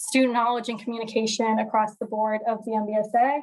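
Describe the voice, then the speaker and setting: Flat, monotone delivery in a very clean recording with a silent background. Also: woman. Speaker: student association executive. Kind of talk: meeting report. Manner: fast.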